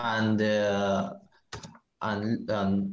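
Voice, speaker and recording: In a Spanish accent, a man talks at a fairly low pitch, with room echo audible. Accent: non-native, Spanish. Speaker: tournament champion, card game player. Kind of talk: casual interview. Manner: halting, hesitant broken English.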